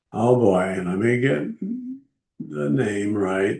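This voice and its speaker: In an American accent, a man talks with a somewhat breathy, dark, mellow tone. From Texas, El Paso. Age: 80s+. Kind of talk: personal video blog. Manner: halting, with frequent fillers.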